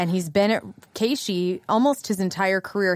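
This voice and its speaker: With an American accent, a woman speaks at a medium pitch and a moderate pace in an ordinary speaking voice. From southern Illinois. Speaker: radio on-air personality. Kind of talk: casual interview chat.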